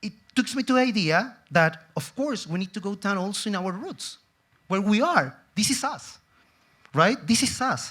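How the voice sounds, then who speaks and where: Speaking at a moderate pace, a man uses a high voice with a bright, sharp tone and lively intonation. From Chile. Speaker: tourism executive. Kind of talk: conference talk.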